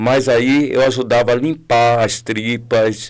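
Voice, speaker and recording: A man speaks at a very slow pace in a flat monotone at a medium pitch. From Bahia, Brazil (Salvador). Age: 60s. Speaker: restaurant consultant and culinary teacher. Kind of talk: podcast interview. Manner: hesitant, with many fillers.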